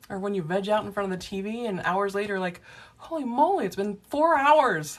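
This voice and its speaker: Here a woman talks at a moderate pace with lively intonation. She has a normal speaking voice. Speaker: past life regression therapist. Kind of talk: livestream chat with viewers. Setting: live video stream from office.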